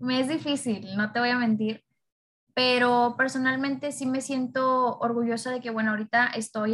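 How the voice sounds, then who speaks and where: A woman with a fairly high voice speaks at a fairly slow pace in a monotone, flat intonation. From Mexico, Nuevo Laredo (Tamaulipas). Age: 20s. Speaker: radio presenter and student influencer. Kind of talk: podcast interview.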